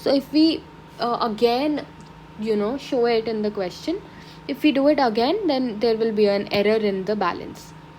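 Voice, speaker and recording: A woman's fairly high voice at a moderate pace, lively in intonation, amid noticeable background noise. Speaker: accounting tutor. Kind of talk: tutorial.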